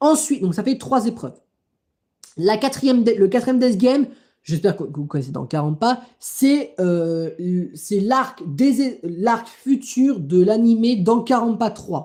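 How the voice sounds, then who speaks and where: Very slowly, a woman speaks in a fairly high, somewhat breathy voice with a dark, mellow tone and very wide pitch swings. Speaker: livestreamer. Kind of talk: live stream chat. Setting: live stream. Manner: halting.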